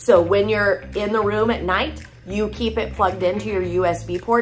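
Faint music plays in the background. Over it, a woman talks at a moderate pace. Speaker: product seller. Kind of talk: product demo vlog chat. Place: home room. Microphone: phone near.

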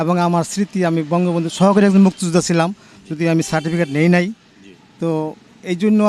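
A man speaks in a high, monotone voice with flat intonation. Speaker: retired university administrator, local resident. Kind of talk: street interview.

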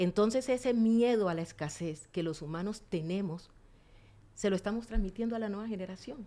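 A dark, mellow tone at a fairly quick pace, with ordinary pitch variation. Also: woman. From Colombian Pacific coast, Nuquí in Chocó; Colombia. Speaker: community tourism leader; guest. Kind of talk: interview conversation. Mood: earnest, emotional, expressive. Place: studio. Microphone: studio mic.

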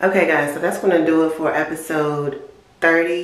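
In a room with audible echo, a woman speaks with a very deep, low pitch. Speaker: vlogger. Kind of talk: casual vlog outro.

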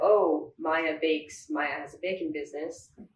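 A woman talks in a fairly low pitch. Audible room echo and light background noise surround her voice. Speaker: guest. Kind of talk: interview answer. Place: home room.

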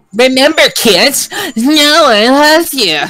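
Using a put-on character voice, a female-sounding speaker goes at a fairly slow pace with a high pitch. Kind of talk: upbeat, salesy. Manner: infomercial pitch.

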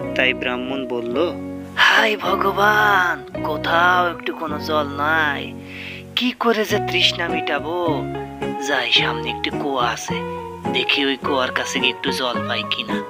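A cartoonish character voice sits at a low-to-middle pitch and moves at a fairly slow pace. Loud music plays in the background.

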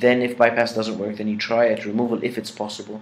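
A man is speaking. He has an Arabic accent. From Egypt. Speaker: dentistry professor; dentist lecturer. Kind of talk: lecture. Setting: pre-recorded lecture. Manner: halting with many fillers. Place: home room. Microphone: webcam.

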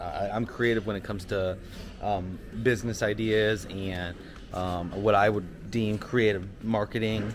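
A man speaks with monotone, flat intonation. Light background noise sits behind him. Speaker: small business owner vlogger. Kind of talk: casual vlog chat. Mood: relaxed, reflective. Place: shop. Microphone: phone near.

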